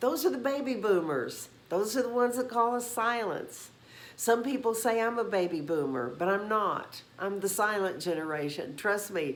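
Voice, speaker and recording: Spoken at a moderate pace with very wide pitch swings, the voice carries an audible room echo. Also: woman, medium pitch for a woman. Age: 70s. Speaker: YouTube host on senior relationships. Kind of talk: casual talk to camera. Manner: conversational with fillers.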